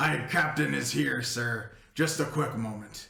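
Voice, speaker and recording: A man puts on a raspy character voice at a fairly slow pace. There is a slight echo. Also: medium pitch for a man. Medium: actual play. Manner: curt, suspicious, authoritative.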